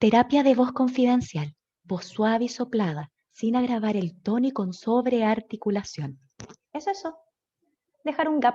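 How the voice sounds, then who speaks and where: A woman puts on a soft-spoken, breathy character voice at a high pitch, speaking at a moderate pace. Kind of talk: voice therapy demonstration. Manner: confidential, carefully over-articulated.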